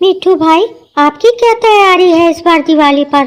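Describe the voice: A woman uses a cartoonish character voice, squeaky and extremely high-pitched. Her loudness stays very even, and her pace is moderate.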